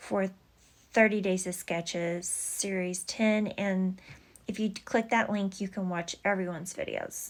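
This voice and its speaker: The recording is very clean, with a silent background. A woman with a Texas accent talks at medium pitch with fairly even intonation. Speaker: scrapbooking YouTuber. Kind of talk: casual craft tutorial. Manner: slow; halting with many fillers.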